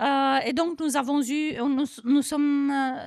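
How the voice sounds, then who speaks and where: A woman with a Romanian accent. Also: dry, close sound with no echo. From Romania, Bucharest. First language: Romanian (speaking French). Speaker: NGO federation director. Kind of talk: panel discussion. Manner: halting, many hesitations.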